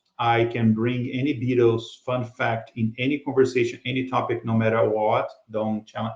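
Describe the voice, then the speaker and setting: Speaking in a Brazilian Portuguese accent, a man uses a medium pitch and a somewhat breathy voice. His delivery is monotone and flat at a moderate pace. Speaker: podcast co-host. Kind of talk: casual chat.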